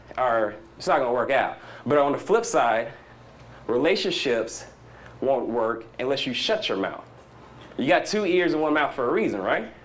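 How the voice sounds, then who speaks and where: An American accent with audible room echo. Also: man, long, frequent pauses. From US South. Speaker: conference speaker. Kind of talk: conference talk. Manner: animated; fast.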